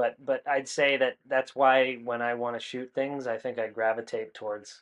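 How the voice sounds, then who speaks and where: With an American accent, a man speaks in a monotone with flat intonation. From US Northeast, New Hampshire near Boston. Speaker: filmmaker. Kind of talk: interview. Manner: halting, many repetitions and fillers.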